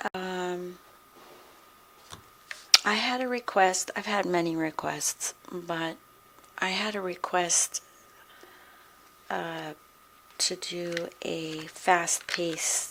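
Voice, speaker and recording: Soft-spoken and at a fairly low pitch, a woman talks at a very slow pace with fairly even intonation and long, frequent pauses, over noticeable background noise. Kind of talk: ASMR soft-spoken rambling.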